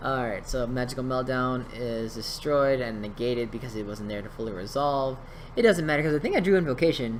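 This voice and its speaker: Fairly quick speech from a man at medium pitch, ordinary pitch variation, audible room echo around him. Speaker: YouTuber commenting on card game duels. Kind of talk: voice-over game commentary. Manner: casual, hesitant with fillers.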